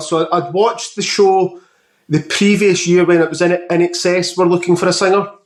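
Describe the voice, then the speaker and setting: With a Scottish accent, a man talks at a moderate pace in a high pitch. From Scotland. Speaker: podcast host. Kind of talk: casual interview chat.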